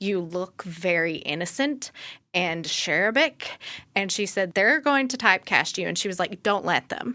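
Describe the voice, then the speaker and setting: On a very clean recording with a silent background, a woman speaks with an American accent at a moderate pace. Her medium-pitched voice has a bright, sharp tone and lively intonation. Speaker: writer and actor. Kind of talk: casual podcast chat.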